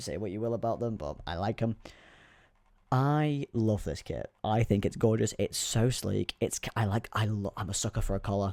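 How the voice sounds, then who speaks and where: A soft-spoken man at a fairly low pitch, in a dry, close sound with no echo, on a very clean recording with a silent background. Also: ordinary pitch variation, moderate pace. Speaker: youtuber. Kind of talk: casual vlog commentary.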